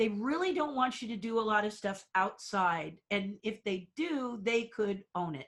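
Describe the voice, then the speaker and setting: A woman's plain, everyday voice, fairly high-pitched with lively intonation and hardly any pauses. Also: fairly slow pace. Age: 60s. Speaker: theme park designer and puppeteer. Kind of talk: interview.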